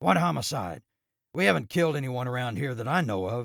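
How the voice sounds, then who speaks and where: A raspy, put-on character voice from a man, medium in pitch with very wide pitch swings, at a fairly quick pace. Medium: read story.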